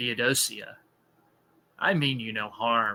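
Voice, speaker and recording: A gravelly, put-on character voice from a man at a medium pitch and a fairly slow pace. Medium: read story. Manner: slow, cold and ominous.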